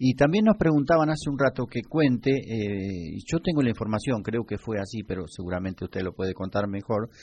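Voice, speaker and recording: A man speaks in a normal speaking voice, medium in pitch. His intonation is lively. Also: fairly quick pace. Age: 60s. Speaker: radio host. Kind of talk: radio broadcast.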